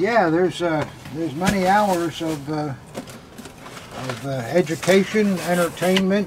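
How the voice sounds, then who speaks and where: With noticeable background noise, a man talks at a fairly slow pace in a high voice, using ordinary pitch variation and long, frequent pauses. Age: 80s+. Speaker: militaria dealer. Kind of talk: casual chat. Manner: halting.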